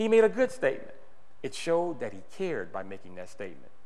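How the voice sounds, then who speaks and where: A man with an animated tone at a fairly quick pace, over noticeable background noise. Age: 60s. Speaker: political activist speaker. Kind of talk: speech to a meeting. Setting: meeting with audience.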